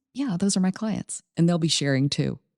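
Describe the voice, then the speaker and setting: A woman's voice with music in the background. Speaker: podcast host. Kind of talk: podcast promo ad read.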